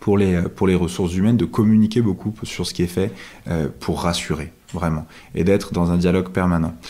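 A dark, mellow tone marks the voice of a man whose pitch sits very deep and low. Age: 30s. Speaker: startup co-founder. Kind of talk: interview. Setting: at home.

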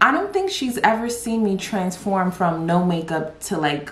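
Noticeable background noise sits behind a woman's voice. She talks at a moderate pace and medium pitch with ordinary pitch variation. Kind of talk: casual talk to camera.

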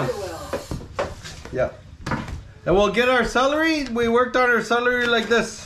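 With noticeable background noise, a man in a raised, projected voice of extremely high pitch speaks at a moderate pace, with long, frequent pauses. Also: ordinary pitch variation. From Meander River, Alberta, Canada. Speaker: outdoorsman, hunting and cooking video host. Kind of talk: casual cooking tutorial to camera. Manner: casual, hesitant. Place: kitchen. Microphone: camera far.

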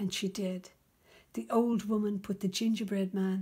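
Over a quiet background, the words arrive at a moderate pace. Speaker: reader of a children's book. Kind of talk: storybook read-aloud. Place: home room. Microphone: phone near.

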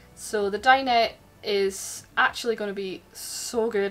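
This woman talks at a fairly slow pace. Her intonation is fairly even. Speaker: boat owner vlogger. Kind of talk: casual vlog chat. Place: boat. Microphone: phone near.

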